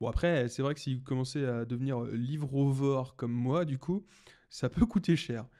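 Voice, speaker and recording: Against a quiet background, a man speaks at a fairly slow pace in a dark, mellow tone. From Brittany, France. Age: 20s. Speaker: podcaster and entrepreneur; podcaster. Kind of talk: casual solo podcast monologue. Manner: halting, many fillers and restarts. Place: home room. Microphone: studio mic.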